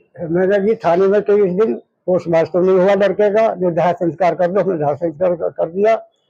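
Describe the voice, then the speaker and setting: Speaking at a moderate pace with hardly any pauses, a man uses a high pitch, a dark, mellow tone, fairly even intonation and very even loudness. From Hapur district, Uttar Pradesh, India. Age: 70s. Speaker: bereaved father, brick kiln labourer. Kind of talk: interview testimony.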